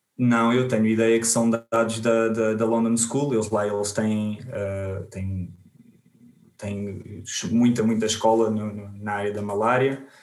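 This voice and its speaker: A man talks at a fairly slow pace in a monotone, flat delivery, with audible room echo around him. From Portugal, Alentejo. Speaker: biostatistician. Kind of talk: interview. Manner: halting, many repetitions.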